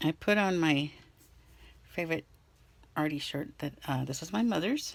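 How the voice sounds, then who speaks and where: A woman speaks at a fairly slow pace with lively intonation. Her pitch is very deep and low. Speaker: crafting vlogger. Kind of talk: casual craft tutorial. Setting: at home desk. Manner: halting; hesitant with fillers.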